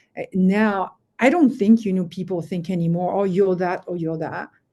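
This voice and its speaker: A woman's medium-pitched voice with a dark, mellow tone, ordinary pitch variation, a moderate pace and a quiet background. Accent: French. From France. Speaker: finance executive. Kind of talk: interview.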